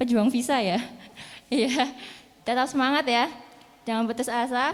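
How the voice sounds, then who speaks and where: The woman's voice sits high in pitch. Her intonation stays fairly even. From Central Java (Banjarnegara). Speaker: English teacher. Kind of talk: speech at an opening ceremony.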